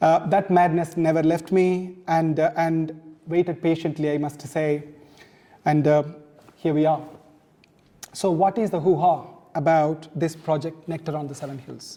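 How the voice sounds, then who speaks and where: A man's fairly high, monotone voice with a Tamil accent, flat intonation, and long, frequent pauses. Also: moderate pace. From South India, Tamil-speaking. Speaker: author. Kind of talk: launch speech.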